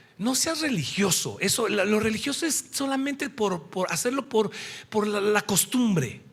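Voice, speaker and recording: Amid noticeable background noise, a man speaks at a fairly slow pace in an animated tone. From Mexico. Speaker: preacher. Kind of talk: sermon.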